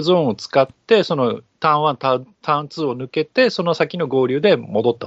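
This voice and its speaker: Lively intonation and a moderate pace from a man with a plain, everyday voice. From outside Kansai, Japan. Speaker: podcast co-host, F1 explainer. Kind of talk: casual chat.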